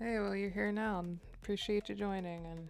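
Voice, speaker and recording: A soft-spoken woman amid audible room echo, with music in the background. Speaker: livestreamer drawing artist. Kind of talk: casual live stream chat while drawing. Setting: live stream. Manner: quiet, soft-spoken.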